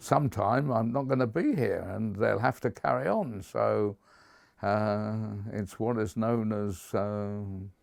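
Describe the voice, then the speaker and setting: In a southern English accent, a man speaks fairly slowly at a fairly low pitch with ordinary pitch variation. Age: 80s+. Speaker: community campaigner. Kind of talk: documentary interview. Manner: hesitant with fillers.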